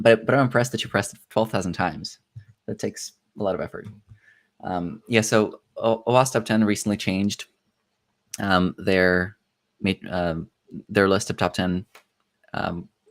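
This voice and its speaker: Fairly even intonation carries the speech along at a moderate pace. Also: man. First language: not English. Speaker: livestream host of a cybersecurity competition. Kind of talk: livestream commentary. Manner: halting, many fillers and restarts.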